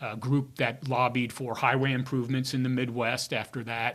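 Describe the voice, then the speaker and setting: The speech moves at a fairly quick pace in an American accent, with monotone, flat intonation. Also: man. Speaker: retiring public information officer, former radio broadcaster. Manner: halting, many fillers.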